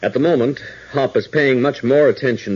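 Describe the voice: This man has a medium pitch, a slightly husky edge and a slightly mellow tone, talking at a moderate pace.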